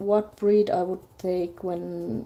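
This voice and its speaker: A woman's medium-pitched voice at a very slow pace, with monotone, flat intonation. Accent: non-native. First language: not English. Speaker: artist live-streaming a drawing. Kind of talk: casual live stream chat. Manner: halting, many fillers.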